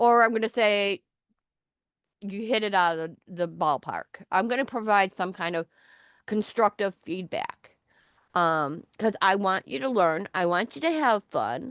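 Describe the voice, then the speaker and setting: A woman with a normal speaking voice, medium pitch and lively intonation, at a fairly slow pace, in a dry, close sound with no echo and a quiet background. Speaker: online course instructor. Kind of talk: online class session.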